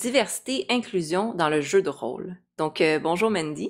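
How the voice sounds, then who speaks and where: A woman's unremarkable speaking voice, fairly low in pitch, with lively intonation at a fairly slow pace. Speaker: psychology channel host. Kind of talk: interview.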